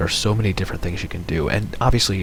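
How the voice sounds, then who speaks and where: A man whispers quietly over music in the background, with audible room echo. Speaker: game streamer. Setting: home, late at night. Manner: quiet, whispering.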